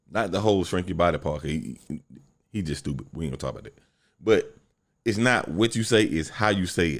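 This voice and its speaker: This man has a very deep, low pitch with vocal fry and lively intonation. His fairly quick speech is on a very clean recording with a silent background. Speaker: podcast host. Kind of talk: solo podcast monologue. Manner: animated.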